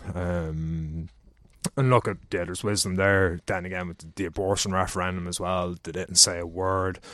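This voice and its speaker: Over a quiet background, a man speaks in a flat monotone at a moderate pace, his pitch very deep and low. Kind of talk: casual chat.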